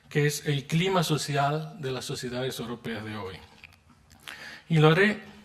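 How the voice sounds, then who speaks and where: Noticeable background noise sits behind a man's fairly high voice. He speaks at a fairly slow pace with lively intonation. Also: long, frequent pauses, big swings in loudness. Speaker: philosopher, keynote lecturer. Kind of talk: lecture. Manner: formal.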